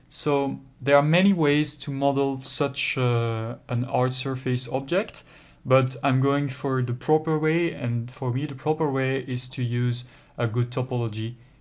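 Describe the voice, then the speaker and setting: Fairly slow and fairly even in intonation, the speech comes in a French accent. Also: man, medium pitch for a man. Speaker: 3D software tutor. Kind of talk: tutorial. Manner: hesitant, with frequent fillers.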